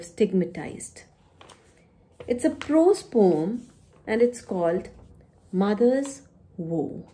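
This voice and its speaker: In an Indian accent, a woman with a dark, mellow tone and fairly high pitch speaks at a very slow pace, her pitch swinging very widely. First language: Punjabi. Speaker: poet and university teacher. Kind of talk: poetry reading with introductory talk. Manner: formal. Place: home room. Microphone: phone near.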